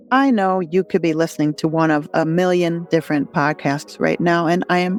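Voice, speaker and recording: A woman talks in a fairly low register. Behind her, music plays. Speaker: holistic life coach and podcast host. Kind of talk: podcast intro.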